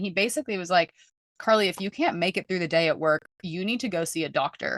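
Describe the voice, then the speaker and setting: A woman talks at a fairly quick pace in a medium pitch, with ordinary pitch variation and a bright, sharp tone. The sound is dry and close with no echo, over a quiet background. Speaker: holistic mental wellness coach. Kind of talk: testimony. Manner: fast.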